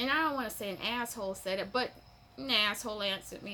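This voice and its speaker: A woman speaks fairly quickly in a raised, projected voice with lively intonation. Noticeable background noise runs beneath her. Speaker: mushroom-growing hobbyist vlogger. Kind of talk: casual vlog chat. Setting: at home on a patio/sunroom. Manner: rambling, conversational with fillers.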